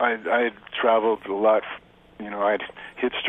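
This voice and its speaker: Clearly audible background noise accompanies a man speaking at an average speed in an American accent. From US West Coast, Los Angeles. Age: 60s. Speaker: photographer. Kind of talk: radio interview. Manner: halting, many repetitions and fillers.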